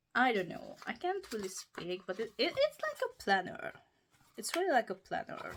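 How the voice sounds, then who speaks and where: A woman talks at a moderate pace with a Hungarian accent. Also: very clean recording, silent background. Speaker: book YouTuber. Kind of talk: casual show-and-tell review.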